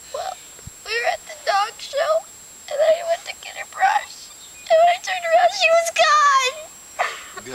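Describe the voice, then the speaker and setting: A put-on character voice pitched extremely high, at a moderate pace. Long pauses come often, over light background noise. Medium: short film.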